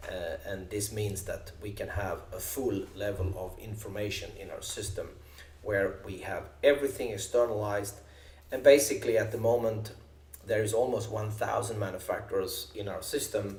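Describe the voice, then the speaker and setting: A man with a Swedish accent talks at a moderate pace, his loudness swinging widely, with audible echo in the room. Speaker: software company co-founder. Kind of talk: software demo tutorial. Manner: halting, many fillers.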